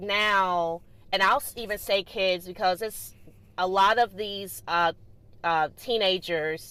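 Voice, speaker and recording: Very clean and set against a silent background, this recording has a woman with a Southern US accent speaking at a fairly slow pace. Her medium-pitched voice is animated, with a bright, sharp tone. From US South, Greensboro, North Carolina. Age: 30s. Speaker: podcast host. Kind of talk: solo podcast monologue.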